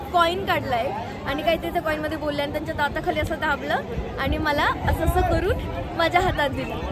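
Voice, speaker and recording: In a space with audible room echo, a woman speaks at an extremely high pitch. Crowd noise fills the background. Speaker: travel vlogger. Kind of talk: casual vlog. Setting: outdoors at temple. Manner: animated.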